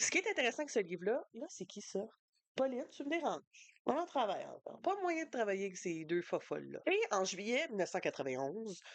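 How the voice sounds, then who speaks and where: Speaking with a Quebec accent, a woman has a fairly high pitch and vocal fry. Her pitch swings very widely at a fairly quick pace. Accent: Québécois French. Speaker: book youtuber. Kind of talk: casual book review vlog. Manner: fast; animated.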